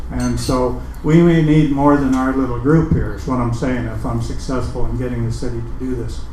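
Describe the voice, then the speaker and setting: A man talking at a fairly quick pace with hardly any pauses, amid noticeable background noise and audible room echo. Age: 60s. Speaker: open mic host. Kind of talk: casual announcements to audience. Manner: halting, many fillers.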